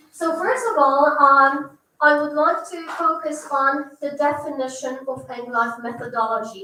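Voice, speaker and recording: A woman's raised, projected voice, high-pitched, bright and sharp, with ordinary pitch variation at a fairly slow pace, amid audible room echo. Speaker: English teacher. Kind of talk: presentation.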